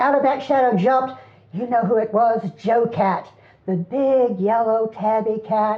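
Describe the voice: The speaker simply reads the text aloud in a plain way.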